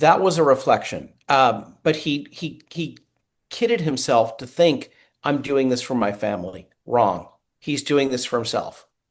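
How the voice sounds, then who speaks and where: With an American accent, a man speaks fairly slowly at a medium pitch, adding vocal fry and lively intonation over a quiet background. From Boston area, US Northeast. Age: 60s. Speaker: executive coach and keynote speaker. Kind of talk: podcast interview. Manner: animated, repetitive stammering.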